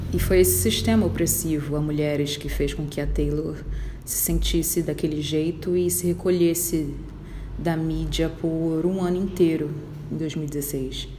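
A woman talks at a fairly slow pace in a very deep, low pitch with lively intonation. Audible room echo fills the recording. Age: 20s. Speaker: podcaster. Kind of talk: personal monologue.

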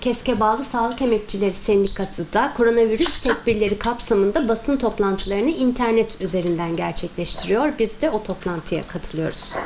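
A woman's fairly high voice at a moderate pace, with ordinary pitch variation and hardly any pauses, over noticeable background noise. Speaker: journalist asking questions. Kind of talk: press Q&A.

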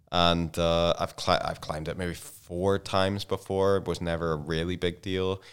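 In a Belfast accent, a man speaks at a fairly slow pace with a very deep, low pitch and monotone, flat intonation, on a very clean recording with a silent background. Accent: Belfast Northern Irish. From Northern Ireland, Belfast. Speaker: podcast guest. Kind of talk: casual chat. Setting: studio.

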